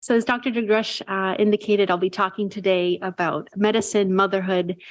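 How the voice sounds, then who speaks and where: On a very clean recording with a silent background, a soft-spoken voice moves at a moderate pace with monotone, flat intonation. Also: woman. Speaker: psychiatry resident. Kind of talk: lecture.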